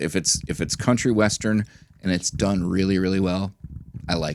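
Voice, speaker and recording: A man speaks with a very deep, low pitch. His intonation stays fairly even at a moderate pace. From Minnesota. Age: 40s. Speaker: record store owner. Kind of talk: casual chat.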